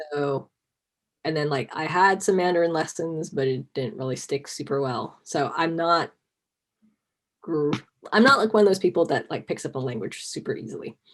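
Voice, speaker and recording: A woman's fairly low voice with lively intonation, a moderate pace, and long, frequent pauses. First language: Cantonese. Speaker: costumer, interview guest. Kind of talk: casual video interview chat.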